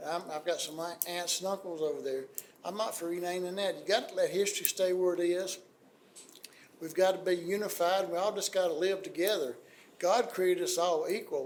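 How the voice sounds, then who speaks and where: Speaking with an Alabama accent, a man talks at a fairly quick pace in a high voice. Room echo is audible around him. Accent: US Southern (Alabama). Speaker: city council member. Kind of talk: public meeting remarks. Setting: city council meeting.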